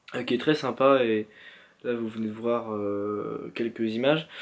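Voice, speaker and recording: Fairly even intonation marks a man's voice pitched in the medium range. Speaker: vlogger. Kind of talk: casual vlog talk. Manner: halting, many fillers.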